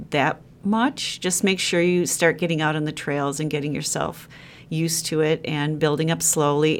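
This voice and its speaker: In a Wisconsin accent, a woman speaks at a fairly slow pace with a very deep, low pitch. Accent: Upper Midwest (Wisconsin). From Wisconsin (Sheboygan). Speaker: freelance travel writer and long-distance hiker. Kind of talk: interview.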